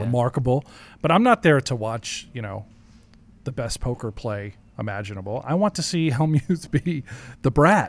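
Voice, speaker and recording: Speaking at a moderate pace with lively intonation, a man leaves long, frequent pauses, and the sound is dry with no echo. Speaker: poker commentator. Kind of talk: casual interview conversation. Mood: amused, opinionated. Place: studio. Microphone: studio mic.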